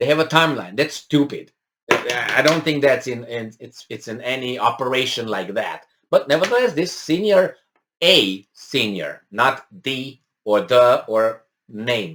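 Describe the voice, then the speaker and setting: A man with a non-native accent speaks at a fairly slow pace, his bright, sharp tone at medium pitch carrying lively intonation and big swings in loudness. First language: not English. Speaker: political commentator. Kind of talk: news commentary, reading and discussing an article. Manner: hesitant, many fillers and restarts.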